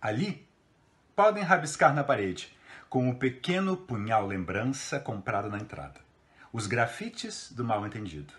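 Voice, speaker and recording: In a theatrical tone, a man's voice swings very widely in pitch, with vocal fry. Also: moderate pace. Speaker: theatre professor reading a poem. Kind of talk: poetry reading aloud, a literary text delivered with dramatic interpretation. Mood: expressive, theatrical recitation. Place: home room. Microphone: phone near.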